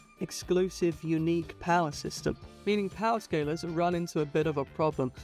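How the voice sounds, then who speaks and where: The talking proceeds at a moderate pace. Behind it, there is music. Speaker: video essayist. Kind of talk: video essay narration.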